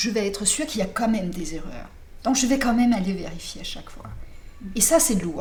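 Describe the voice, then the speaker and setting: A woman talks at a fairly quick pace in a fairly high pitch, with lively intonation, big swings in loudness and long, frequent pauses. Noticeable background noise and audible room echo fill the recording. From Denmark. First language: Danish (speaking French). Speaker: novelist. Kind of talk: interview. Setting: apartment in Paris. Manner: halting.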